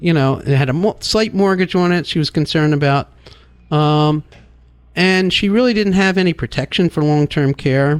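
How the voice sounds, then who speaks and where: The voice has very even loudness and ordinary pitch variation, in a dry, close sound with no echo. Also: man, fairly high pitch for a man. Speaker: financial advisor. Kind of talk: radio talk show discussion. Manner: fast.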